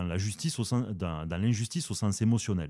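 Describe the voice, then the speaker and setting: A man's dark, mellow tone carries ordinary pitch variation in a very clean recording with a silent background. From southern France. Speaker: philosophy podcast host. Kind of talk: casual philosophical discussion. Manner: hesitant, many fillers.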